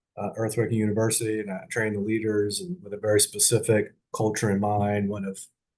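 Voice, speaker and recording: Somewhat breathy voice at a moderate pace over a quiet background. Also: man. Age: 60s. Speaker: podcast host and leadership trainer. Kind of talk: personal podcast monologue. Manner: halting, many fillers and restarts.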